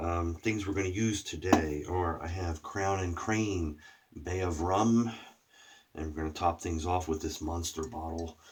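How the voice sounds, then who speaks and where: A man speaks at a fairly slow pace in a very deep, low voice that is somewhat breathy, with fairly even intonation. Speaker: shaving product reviewer. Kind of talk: casual video review. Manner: throat clearing.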